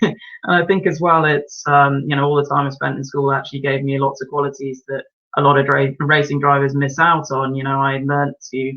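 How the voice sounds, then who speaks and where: A man with an English accent, fairly high in pitch, monotone and flat, at a fairly quick pace. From English Midlands, Birmingham. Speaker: racing driver. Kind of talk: interview. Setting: live stream.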